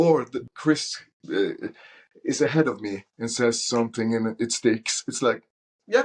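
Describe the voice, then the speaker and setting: A man with a Norwegian accent speaks at a fairly slow pace. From Norway. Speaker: soul singer. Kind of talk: casual interview chat. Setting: podcast interview.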